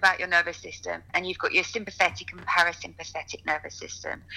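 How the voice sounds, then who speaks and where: Very fast speech over noticeable background noise. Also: woman. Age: 40s. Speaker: yoga teacher. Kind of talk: interview.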